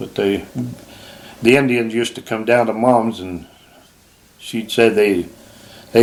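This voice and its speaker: A man's medium-pitched voice in a Utah accent, fairly even intonation, moderate pace, big swings in loudness, long, frequent pauses, and noticeable background noise. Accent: rural Utah American. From Utah (Provo). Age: 80s+. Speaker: retired hunter and fisherman. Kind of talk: casual chat.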